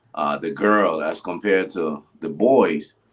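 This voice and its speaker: A man with a normal speaking voice, lively intonation and a fairly slow pace. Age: 60s. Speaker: pastor. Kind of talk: casual interview chat.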